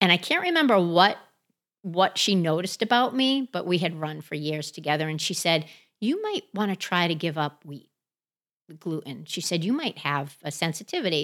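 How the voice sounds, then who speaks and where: A woman with an American accent, an ordinary speaking voice, a fairly low pitch and lively intonation. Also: moderate pace. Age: 50s. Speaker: CrossFit athlete. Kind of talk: casual chat. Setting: on location.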